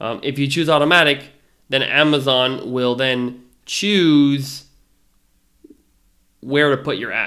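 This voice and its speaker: A man's bright, sharp voice with fairly even intonation and long, frequent pauses. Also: fairly high pitch for a man. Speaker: online seller educator. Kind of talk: tutorial. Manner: fast; casual, hesitant with fillers.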